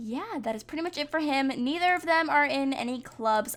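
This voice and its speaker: A woman speaks with ordinary pitch variation. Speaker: gaming youtuber. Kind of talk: let's play commentary. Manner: casual, filler-heavy.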